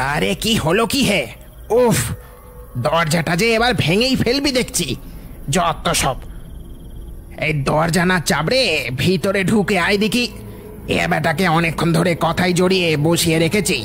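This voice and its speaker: Over clear background noise, a man uses a cartoonish character voice with a high pitch and a fairly slow pace. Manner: mocking, menacing.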